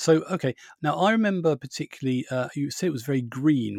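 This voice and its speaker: A man speaks at a fairly quick pace with a southern English accent and ordinary pitch variation. The sound is dry and close with no echo, on a very clean recording with a silent background. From Borehamwood, Hertfordshire, England. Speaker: podcast host. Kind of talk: casual chat.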